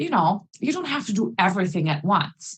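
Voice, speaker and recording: A woman with a non-native accent speaks at a moderate pace and a medium pitch, her voice swinging very widely up and down. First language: not English. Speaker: English teacher, conference speaker. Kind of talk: conference presentation.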